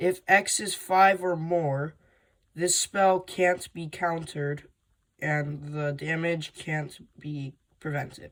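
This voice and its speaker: Someone speaks very slowly. The background is silent and the recording very clean. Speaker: card game hobbyist. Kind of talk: casual unboxing talk to camera.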